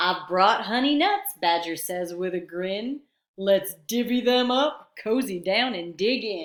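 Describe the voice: Quiet background behind plain reading aloud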